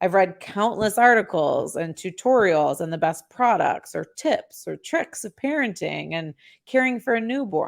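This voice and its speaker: A woman speaks at a fairly slow pace and a medium pitch, with a Chicago accent. The recording is very clean, with a silent background. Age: 40s. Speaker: podcast host. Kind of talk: casual monologue.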